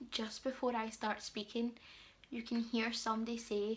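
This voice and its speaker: A woman with a British accent speaks at a fairly slow pace. Her voice is somewhat breathy and fairly high. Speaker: beauty and lifestyle vlogger. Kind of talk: storytime vlog. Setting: at home, late night. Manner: quiet, subdued; casual, filler-heavy.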